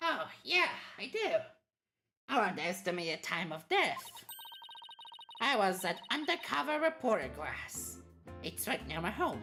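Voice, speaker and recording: A female-sounding voice does a put-on character voice at medium pitch and a moderate pace. Long, frequent pauses break it up, with faint music in the background. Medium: game stream. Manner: excitable, earnest.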